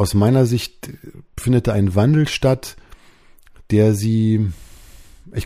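Ordinary pitch variation shapes speech in a dark, mellow tone. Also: man. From Berlin, Germany. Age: 40s. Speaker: leadership coach and podcast host. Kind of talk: solo podcast monologue.

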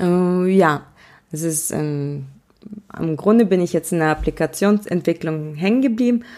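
In a very clean recording with a silent background, a woman of medium pitch speaks at a moderate pace with ordinary pitch variation. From Germany, born in Russia. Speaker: podcast host, entrepreneur. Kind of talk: casual monologue.

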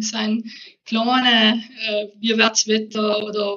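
A woman with a South Tyrolean accent speaks at a fairly high pitch. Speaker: professor of natural language processing. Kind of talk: casual interview.

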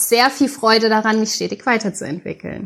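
The speaker is a woman. Her voice is fairly high. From Mainz area, Germany. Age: 30s. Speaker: podcast co-host. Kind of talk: casual podcast introduction.

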